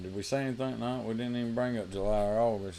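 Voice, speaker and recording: In a Southern US accent, a man talks at a moderate pace in a dark, mellow tone with ordinary pitch variation. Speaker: RC racing podcast co-host. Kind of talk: casual chat.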